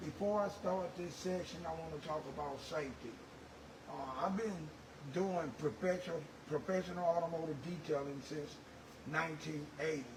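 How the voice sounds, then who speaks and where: A man's fairly high voice with ordinary pitch variation at a moderate pace, amid audible room echo and noticeable background noise. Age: 60s. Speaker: automotive detailer. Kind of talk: tutorial. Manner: halting, with repeated words and fillers.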